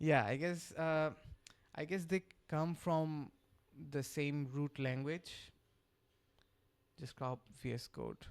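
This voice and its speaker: A very slow pace with long, frequent pauses, on a very clean recording with a silent background. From Bangladesh. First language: Bengali. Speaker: software developer streamer. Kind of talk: live coding stream chat. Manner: halting, many fillers.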